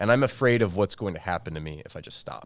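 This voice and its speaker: In a very clean recording with a silent background, a man with an American accent speaks very fast in a very deep, low voice. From South Florida. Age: 30s. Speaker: podcast guest sharing recovery experience. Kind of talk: casual interview conversation.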